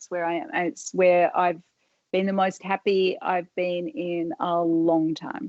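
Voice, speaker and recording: A woman speaks very slowly in an Australian accent, her pitch fairly low with ordinary variation. Her loudness swings widely, and the sound is dry and close with no echo. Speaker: hair salon owner. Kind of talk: interview answer.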